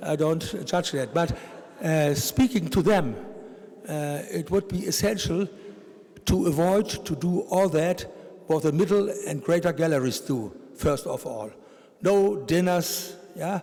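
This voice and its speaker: A man with a German accent speaks at a high pitch and a fairly slow pace. His intonation is lively, with long, frequent pauses over noticeable background noise. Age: 70s. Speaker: art collector. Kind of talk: panel discussion. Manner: halting.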